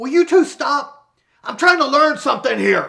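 A man uses a put-on character voice at an extremely high pitch. His pace is moderate. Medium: short film. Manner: pompous, self-pitying.

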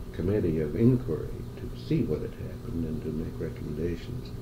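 With an Upper Midwest accent, the speaker talks at a moderate pace over noticeable background noise. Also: man. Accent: Upper Midwest American. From Madison, Wisconsin. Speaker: oral history interviewee. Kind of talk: interview answer. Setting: recorded interview, tape recording. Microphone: old recording.

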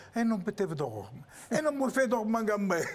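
A man's high-pitched voice with lively intonation. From Apulia, Italy. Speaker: actor and theatre director; actor. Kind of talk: TV interview. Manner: animated. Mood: animated, storytelling. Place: studio. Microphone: lapel.

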